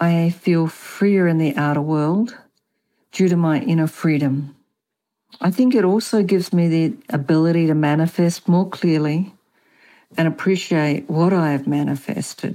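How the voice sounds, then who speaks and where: A woman with a strong Australian accent speaks at a moderate pace in a dark, mellow tone, her fairly low voice holding a very even loudness on a very clean recording with a silent background. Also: ordinary pitch variation. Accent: Australian, kept strong. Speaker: author and feng shui consultant. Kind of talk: interview about spirituality.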